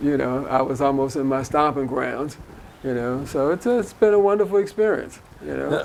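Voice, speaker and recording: Over noticeable background noise, a man speaks at a moderate pace with lively intonation and a fairly high pitch. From North Philadelphia. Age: 70s. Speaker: community volunteer. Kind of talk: interview.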